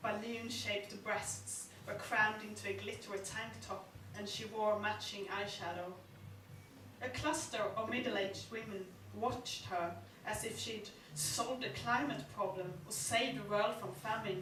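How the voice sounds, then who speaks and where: A woman with a Swedish accent, medium pitch, and noticeable background noise. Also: ordinary pitch variation, moderate pace. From Sweden. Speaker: novelist; performance poet. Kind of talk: live short story reading. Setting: live venue.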